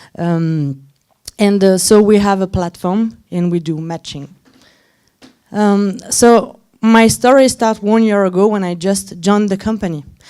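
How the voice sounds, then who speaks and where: With a non-native accent, a woman of medium pitch speaks at a fairly slow pace, her tone dark and mellow and her pitch variation ordinary. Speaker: head of design at a startup, conference speaker. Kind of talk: conference talk. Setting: stage with audience. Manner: halting, many fillers.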